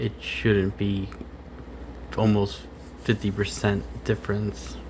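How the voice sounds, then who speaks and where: A man speaks at a very slow pace in a fairly low pitch, with very wide pitch swings over noticeable background noise. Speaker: FPV drone hobbyist. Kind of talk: tutorial. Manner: halting; casual.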